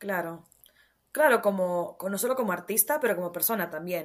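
This woman talks in a medium pitch at a moderate pace. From Honduras. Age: 20s. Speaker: poet and author. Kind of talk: casual interview.

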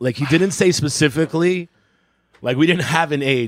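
Pitched fairly high, a man speaks in a normal speaking voice. The intonation is lively. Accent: American. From New York City. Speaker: comedian and podcast host. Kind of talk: casual chat, comedic banter.

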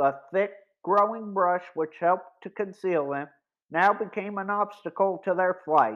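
Against a quiet background, someone reads aloud in a natural voice, pitch varying in an ordinary way.

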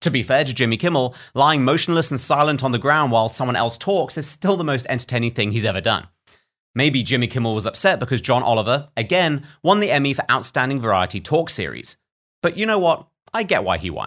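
A man with a British accent, medium-pitched, very fast, with lively intonation, on a very clean recording over a silent background

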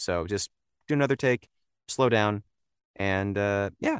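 A man speaks in an ordinary speaking voice at a fairly slow pace with lively intonation. The sound is dry and close, with no echo. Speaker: voice actor. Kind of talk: casual interview chat.

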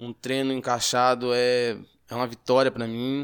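On a very clean recording with a silent background, a man speaks at a medium pitch in a flat monotone. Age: 30s. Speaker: amateur runner and welder. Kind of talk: interview. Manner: halting, with fillers.

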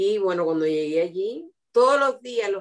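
A woman speaks at a fairly slow pace with medium pitch. Her intonation is lively. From Cuba. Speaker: host's mother. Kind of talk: interview.

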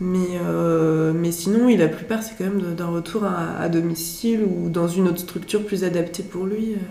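A woman's fairly low voice at a fairly slow pace with fairly even intonation and hardly any pauses, amid audible room echo and noticeable background noise. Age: 20s. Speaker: psychiatric nurse. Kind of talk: interview.

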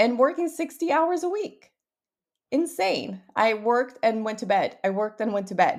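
A woman speaks with a Portuguese accent in a fairly high pitch. Her tone is upbeat, and her pitch swings very widely. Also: moderate pace. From Brazil. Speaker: podcast host, entrepreneur. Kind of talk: podcast monologue, personal storytelling. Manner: upbeat, motivational.

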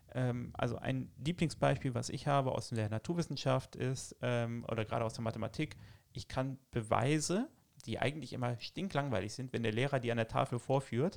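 A man with an ordinary speaking voice at a medium pitch, with ordinary pitch variation and a moderate pace. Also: very clean recording, silent background. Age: 30s. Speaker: teacher. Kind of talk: casual interview.

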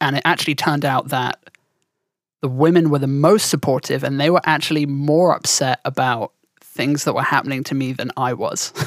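A woman's very deep, low voice in a southern English accent, with fairly even intonation and a dry, close sound with no echo. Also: moderate pace. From southern England. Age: 20s. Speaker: podcast co-host, streamer. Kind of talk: casual chat. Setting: remote call.

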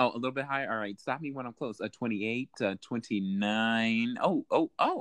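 Dry and close with no echo, this is a man with an unremarkable speaking voice at medium pitch. He keeps a moderate pace and ordinary pitch variation. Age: 20s. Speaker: podcast guest. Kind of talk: casual chat.

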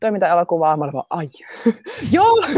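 A woman talks at a very fast pace and a fairly low pitch. The sound is dry and close, with no echo. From Finland, Jyväskylä. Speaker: dancer and actress. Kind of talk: interview. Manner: halting.

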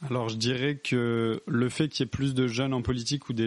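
A man talks at a fairly quick pace in a flat monotone. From France, rural area. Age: 20s. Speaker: civil servant. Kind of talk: casual interview.

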